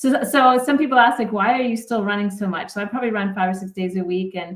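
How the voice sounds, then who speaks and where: A woman's plain, everyday voice at medium pitch, fairly quick, with a Canadian accent. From Canada. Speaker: sports psychologist. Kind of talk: podcast interview.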